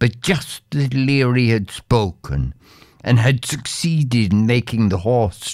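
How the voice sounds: The reading voice is natural, with ordinary pitch variation.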